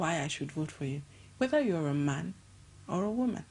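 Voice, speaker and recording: A woman's somewhat breathy voice with very wide pitch swings. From Nigeria. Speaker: NGO director and gender activist; guest. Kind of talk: TV interview. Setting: TV studio. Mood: thoughtful, earnest. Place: studio. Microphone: lapel.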